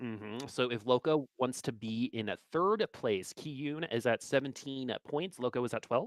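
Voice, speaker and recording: A man in a normal speaking voice talks at a moderate pace with hardly any pauses, his medium pitch showing ordinary variation, the sound dry and close with no echo and the background quiet. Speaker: esports caster. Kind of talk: live commentary.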